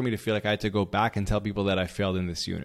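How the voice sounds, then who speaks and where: The recording of this man is very clean, and the background is silent. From Israel. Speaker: podcast host and mindset coach. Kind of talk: monologue podcast.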